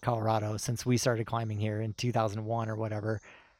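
A man talks at a fairly quick pace in an unremarkable speaking voice of medium pitch. The recording is very clean, with a silent background. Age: 40s. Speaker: climbing guidebook author. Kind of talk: casual chat.

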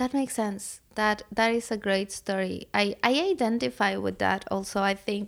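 A woman speaks with a Spanish accent and ordinary pitch variation, keeping a very even loudness. The recording is very clean, with a silent background. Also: medium pitch for a woman, moderate pace, hardly any pauses. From Mexico, Puebla. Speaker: artist and educator. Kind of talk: casual chat. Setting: guest room at home.

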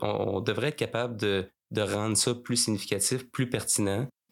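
The voice has a Quebec accent and fairly even intonation, on a very clean recording with a silent background. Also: man. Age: 30s. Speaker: funeral director. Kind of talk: interview. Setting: mobile studio by the river.

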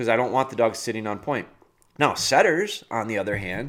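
Here a man with a normal speaking voice talks at a fairly quick pace and medium pitch, with lively intonation. The recording is very clean and the background silent. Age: 40s. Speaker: dog trainer and podcast host. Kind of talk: casual solo podcast talk.

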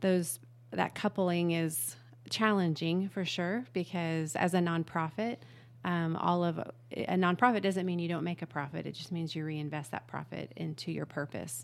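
A woman at a fairly low pitch and moderate pace, with ordinary pitch variation and a plain, everyday voice. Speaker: nonprofit business founder. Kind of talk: interview.

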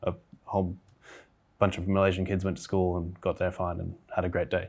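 A man with an Australian accent and a very deep, low voice. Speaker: agricultural scientist. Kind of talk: casual chat.

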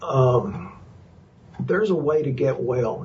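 In a Texas accent, the speaker talks with ordinary pitch variation against noticeable background noise. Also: man. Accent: Texas drawl. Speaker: chiropractor and nutrition practitioner. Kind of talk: casual interview. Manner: jokey, folksy.

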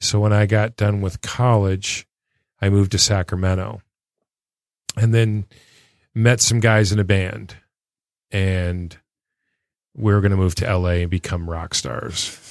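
A man's fairly low voice with an American accent, fairly even intonation, a fairly slow pace and long, frequent pauses, dry and close with no echo, in a very clean recording with a silent background. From Michigan, Detroit area. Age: 50s. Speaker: band manager. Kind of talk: casual chat.

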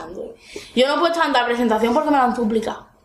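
A woman speaks in an animated tone with lively intonation and an Andalusian accent. Noticeable background noise can be heard. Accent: Andalusian Spanish (Cádiz). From Andalusia, Spain (Cádiz province). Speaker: guest commentator. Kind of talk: casual chat.

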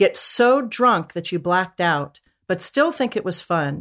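Over a quiet background, a woman talks in an ordinary speaking voice at medium pitch with lively intonation. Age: 50s. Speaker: mental health author and coach. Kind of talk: interview.

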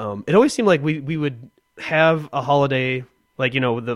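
An ordinary speaking voice from a man with an American accent, fairly quick in pace, with ordinary pitch variation. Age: 30s. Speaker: podcast co-host. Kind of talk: casual chat.

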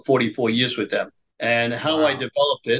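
A man of medium pitch speaks with a New York accent. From US Northeast, Brooklyn, New York. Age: 80s+. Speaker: businessman and political activist. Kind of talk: interview storytelling.

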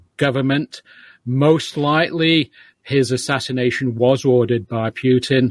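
A man with a British accent speaks at a fairly slow pace in a medium-pitched voice with ordinary pitch variation. The sound is dry and close with no echo, and the background is quiet. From Manchester, England. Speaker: author and professor. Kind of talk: interview about a book.

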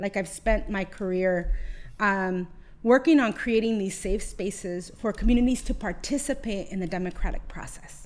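A woman with a medium-pitched voice talks at a moderate pace, her pitch varying in an ordinary way. Audible room echo surrounds her. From California, Oxnard. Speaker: labor union organizer. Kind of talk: casual chat. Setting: home garage studio.

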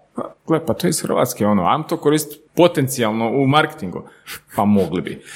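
A man with a normal speaking voice talks at a fairly quick pace. His pitch is fairly high and his intonation lively. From Slavonski Brod, Croatia. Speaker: startup co-owner. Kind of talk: casual chat.

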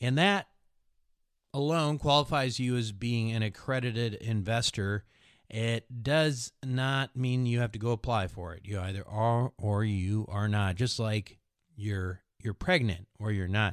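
A man's medium-pitched voice at a fairly slow pace, with ordinary pitch variation and a dry, close sound free of echo, in a very clean recording with a silent background. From US Midwest, Minnesota. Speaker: podcast host, investing. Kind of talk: casual chat and interview. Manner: slow talker.

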